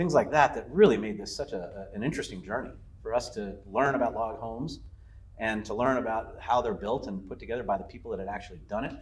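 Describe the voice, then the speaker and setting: Speaking at a very fast pace, a man has a medium pitch and ordinary pitch variation. His voice is somewhat breathy. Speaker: lodge owner. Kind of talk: interview. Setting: on location at the lodge. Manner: halting, many fillers and repeats.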